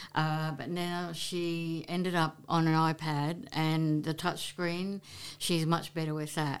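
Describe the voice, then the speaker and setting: Speaking at a very slow pace in an Australian accent, a woman uses a very deep, low pitch and monotone, flat intonation on a very clean recording with a silent background. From Queensland, Australia (Brisbane, Maryborough). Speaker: photographer and entertainment reporter. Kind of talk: casual interview. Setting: face-to-face recording.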